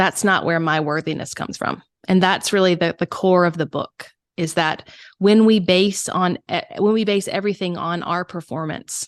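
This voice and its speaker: Against a quiet background, a woman speaks at a moderate pace and medium pitch with fairly even intonation, the sound dry and close with no echo. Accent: Southern. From US South, South Carolina. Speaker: first-time author and creative coach. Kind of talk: interview. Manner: halting, many repetitions.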